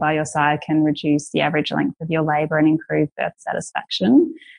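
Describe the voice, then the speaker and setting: Against a quiet background, a woman with an Australian accent talks fairly quickly in a very deep, low voice. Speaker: women's space founder and doula. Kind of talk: casual interview.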